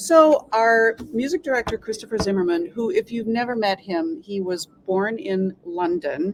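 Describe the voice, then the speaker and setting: In an Upper Midwest accent, the speaker has an animated tone with very wide pitch swings, a moderate pace and hardly any pauses, in a dry, close sound with no echo. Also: woman, fairly high pitch for a woman. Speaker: symphony orchestra staff, arts administrator. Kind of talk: casual interview chat.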